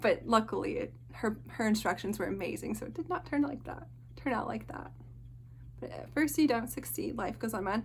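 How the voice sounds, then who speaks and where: A woman talks at a fairly quick pace. Her loudness swings widely. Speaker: cross-stitch video creator. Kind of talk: casual show-and-tell monologue. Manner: fast.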